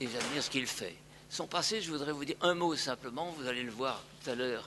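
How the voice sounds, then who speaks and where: With audible room echo around him, a man talks at a moderate pace in a medium pitch with ordinary pitch variation. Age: 80s+. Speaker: elderly educator, sponsor of the new professor. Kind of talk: formal speech. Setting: lecture hall with audience. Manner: halting, repeats himself.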